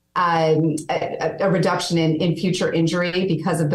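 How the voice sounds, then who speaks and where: A woman with a fairly low pitch talks at a moderate pace. Room echo is audible. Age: 40s. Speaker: fitness company president. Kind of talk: interview. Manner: animated.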